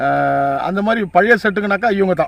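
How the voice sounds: A high-pitched man with vocal fry, lively intonation and a fairly quick pace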